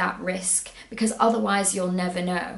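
In a room with audible echo, a woman speaks in an upbeat tone. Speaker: travel blogger and YouTuber. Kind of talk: motivational pep talk to camera, timed at 60 seconds. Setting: video recorded to camera, solo. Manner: upbeat, encouraging, earnest; brisk, timed, direct. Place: home room.

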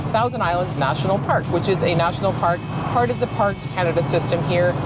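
Loud background noise, a fairly quick pace and a dry sound with no echo. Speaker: travel vlogger. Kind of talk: travel commentary. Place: car. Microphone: lapel.

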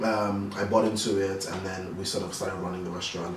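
A man speaks at a fairly quick pace and a fairly low pitch. Audible room echo and light background noise are present. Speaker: guest. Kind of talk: interview answer. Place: home room.

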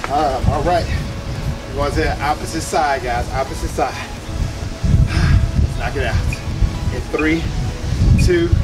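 A man speaks at a fairly slow pace with long, frequent pauses over clear music in the background. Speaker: fitness trainer. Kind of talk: workout instruction. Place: open country.

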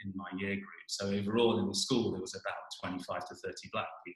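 In a British accent, a man speaks at a moderate pace in a quiet background with audible room echo. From England. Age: 40s. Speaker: geoscience professor. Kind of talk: personal presentation. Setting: video call. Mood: thoughtful, earnest. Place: home room. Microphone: webcam.

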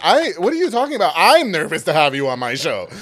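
Faint music plays behind a man who talks at a very fast pace with very wide pitch swings. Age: 30s. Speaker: podcast host and former radio DJ; podcast host, former radio DJ. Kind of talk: casual interview chat. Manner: animated. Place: studio. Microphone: studio mic.

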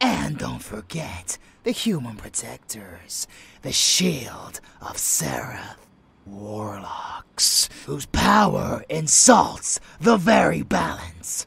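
Here is a put-on character voice, raspy in quality. It goes at a very slow pace. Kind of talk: dark romance roleplay. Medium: audio drama. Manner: playful, teasing, affectionate; fanatical, contemptuous when preaching.

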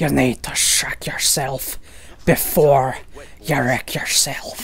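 A man puts on a raspy character voice at medium pitch, speaking at a very slow pace over clear background noise. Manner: menacing, gritty.

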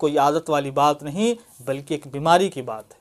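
Over a quiet background, a man speaks at a fairly slow pace. His intonation is lively. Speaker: educational channel host. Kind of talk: explainer talk to camera. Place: home room. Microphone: phone near.

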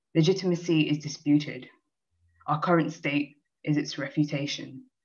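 A woman's very deep, low voice in a monotone, flat delivery at a moderate pace over a quiet background. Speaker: poet. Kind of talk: poem reading. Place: home room. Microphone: video call.

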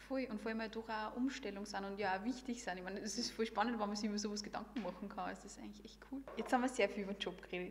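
A woman with a fairly high pitch speaks at a very fast pace with hardly any pauses, ordinary pitch variation and big swings in loudness over light background noise. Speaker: podcast host. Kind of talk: casual interview. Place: meeting room. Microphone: studio mic.

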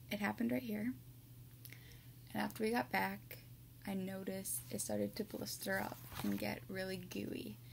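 Noticeable background noise runs under the recording. A woman talks over it at a moderate pace. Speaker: ASMR creator. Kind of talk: casual talk to camera. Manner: normal speaking voice, not whispered. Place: home room. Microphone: webcam.

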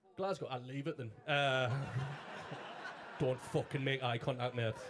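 A man keeps a moderate pace while noticeable background noise carries on behind him. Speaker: stand-up comedian. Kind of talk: stand-up comedy set. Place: stage. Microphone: handheld.

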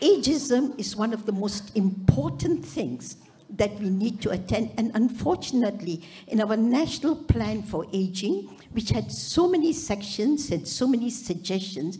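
Speaking at a fairly slow pace, the voice moves through very wide pitch swings. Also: woman, fairly high pitch for a woman. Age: 80s+. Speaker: retired surgeon, audience member; audience member. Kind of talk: audience comment at a summit. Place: hall. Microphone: handheld.

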